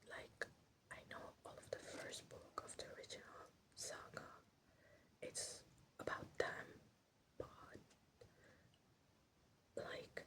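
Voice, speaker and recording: The speaker is whispering at a very slow pace. Long, frequent pauses break up the speech. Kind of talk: ASMR rant, whispered ramble about a TV series. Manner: whispered.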